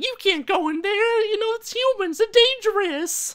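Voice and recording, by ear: Squeaky and at an extremely high pitch, this put-on character voice keeps a moderate pace.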